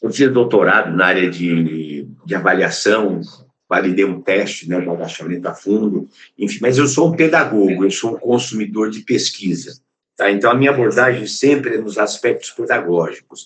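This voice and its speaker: With audible room echo around him, a man speaks at a moderate pace in a fairly low pitch with lively intonation. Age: 70s. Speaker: physical education professor. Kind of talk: conference lecture. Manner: halting, with repeated words and fillers.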